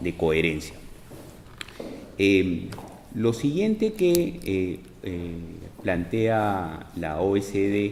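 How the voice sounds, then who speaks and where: With audible room echo and noticeable background noise, a man speaks in a fairly low voice, leaving long, frequent pauses. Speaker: tax expert. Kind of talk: lecture. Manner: hesitant, many fillers.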